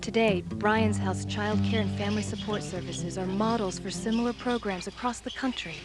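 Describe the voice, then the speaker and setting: At a moderate pace, the speaker talks while music plays behind. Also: woman. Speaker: voice talent. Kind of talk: fundraising video narration.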